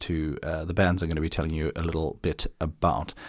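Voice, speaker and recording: Heard on a very clean recording with a silent background, a man talks at a moderate pace. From South Africa. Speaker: podcast host. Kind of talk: casual podcast monologue. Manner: casual, filler-heavy.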